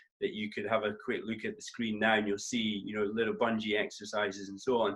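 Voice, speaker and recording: Talking at a very fast pace, a man with a northeast Scottish accent keeps a fairly low pitch and a monotone, flat intonation. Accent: north-east Scottish. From Scotland, north-east (Doric area). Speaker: tennis coach and co-host. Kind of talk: casual chat.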